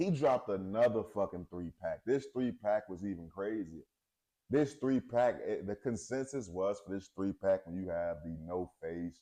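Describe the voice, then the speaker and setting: At a moderate pace, a man with a fairly low pitch and a dark, mellow tone speaks with lively intonation. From US West Coast. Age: 20s. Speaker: podcast host. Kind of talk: casual chat. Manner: animated.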